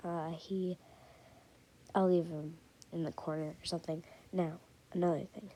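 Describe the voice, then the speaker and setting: Quiet and dark, mellow in tone, a woman with a fairly low pitch speaks at a moderate pace in a monotone, flat intonation, with long, frequent pauses. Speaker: YouTuber. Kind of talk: casual vlog commentary.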